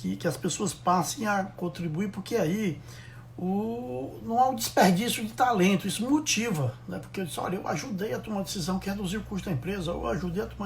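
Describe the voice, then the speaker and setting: A high-pitched male voice with lively intonation and audible room echo. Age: 60s. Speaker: logistics consultant. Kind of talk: live stream talk. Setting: Instagram live. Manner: halting.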